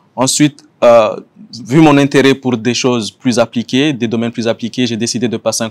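A man talks with fairly even intonation and a moderate pace. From Comoros. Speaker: economics professor. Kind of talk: self-introduction video. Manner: hesitant, many fillers. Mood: calm, measured. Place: garden.

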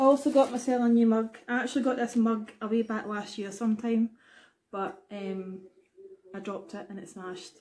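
With a Glaswegian accent, a woman speaks at a fairly high pitch and fairly even intonation. Light background noise can be heard. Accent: Glaswegian Scottish. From Scotland, Glasgow. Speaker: YouTuber. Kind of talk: product haul vlog. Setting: at home. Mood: cheerful, relaxed. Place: home room. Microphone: webcam.

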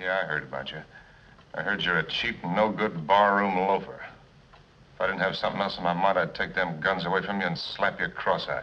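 A man with a very deep, low pitch and a bright, sharp tone keeps his intonation fairly even. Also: fairly quick pace. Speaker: film actor as gunfighter. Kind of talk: film dialogue. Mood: calm, cool, quietly threatening. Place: bar. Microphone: old recording.

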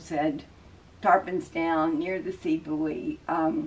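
Pitched low, a woman speaks with fairly even intonation. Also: slightly mellow tone.

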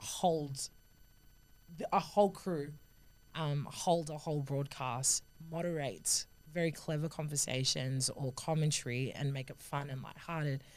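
Speaking with an Australian accent, a woman uses a very deep, low pitch. Her pace is fairly slow and her intonation fairly even. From Sydney, Australia. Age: 20s. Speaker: rugby union player and sports commentator. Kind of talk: podcast interview answer. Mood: warm, thoughtful, lightly humorous. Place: studio. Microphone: studio mic.

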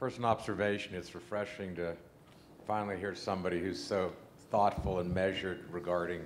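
A man talks fairly quickly in a very deep, low voice with an American accent. Light background noise is present. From northeastern Ohio, Youngstown; Ohio. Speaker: audience member. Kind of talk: audience question. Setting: stage with audience. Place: hall.

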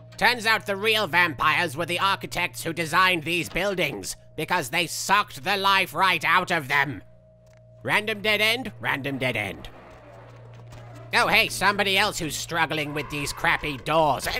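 A put-on character voice moves along at a moderate pace. Faint music sits in the background. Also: man, high pitch for a man. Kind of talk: in-character game commentary. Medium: actual play. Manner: sarcastic, comedic.

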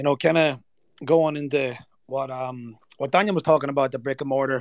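Speaking at a very fast pace with an Irish accent, the voice comes through dry and close with no echo on a very clean recording with a silent background. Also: man. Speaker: event speaker. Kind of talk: informal, calls listeners "lads". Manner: casual, conversational, uses filler like "you know".

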